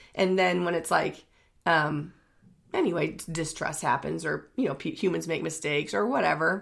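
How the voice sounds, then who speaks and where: A woman talks at a moderate pace with a fairly low pitch and ordinary pitch variation. Her voice carries vocal fry. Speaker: podcast co-host. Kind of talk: casual chat.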